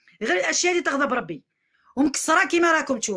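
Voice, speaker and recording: A woman's high-pitched, raised, projected voice with a bright, sharp tone, lively intonation and a moderate pace. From Algeria, Algiers. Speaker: vlogger airing a grievance. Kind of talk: complaint testimony to camera. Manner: repetitive, emphatic.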